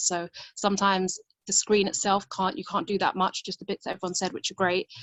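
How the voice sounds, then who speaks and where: A woman talks very fast at a medium pitch, her intonation fairly even. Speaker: support group member who works in a school. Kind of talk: casual group discussion. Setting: video call.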